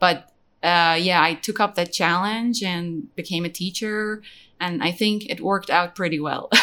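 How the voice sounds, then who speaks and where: A woman's bright, sharp voice, fairly low in pitch with ordinary variation, in an Iranian accent at a moderate pace, on a very clean recording with a silent background. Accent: Iranian (Persian) English. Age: 30s. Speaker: English teacher and online business founder. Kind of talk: podcast interview. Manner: halting.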